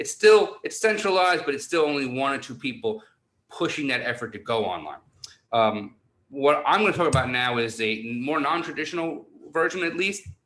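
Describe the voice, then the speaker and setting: A man with a New York accent, fairly high-pitched and fairly quick, with very wide pitch swings. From New York City. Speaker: university online learning director. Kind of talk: conference presentation. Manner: animated.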